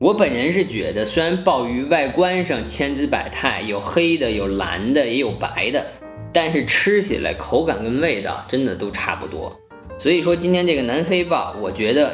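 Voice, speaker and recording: Over faint music in the background, a man speaks at a moderate pace with hardly any pauses. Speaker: food vlogger. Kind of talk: casual food vlog chat. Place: home room.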